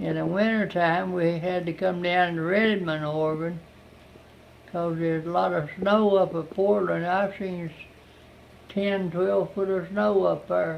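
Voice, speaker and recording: This man, in an Appalachian accent, speaks at a fairly slow pace with a high pitch and fairly even intonation. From southern West Virginia. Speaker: Civilian Conservation Corps veteran. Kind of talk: interview answer. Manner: folksy, plain-spoken.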